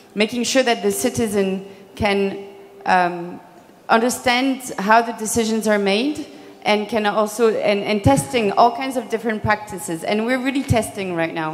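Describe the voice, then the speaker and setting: Faint music plays in the background while a woman speaks at a moderate pace with ordinary pitch variation. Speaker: panelist. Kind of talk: panel self-introduction. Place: stage. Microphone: handheld.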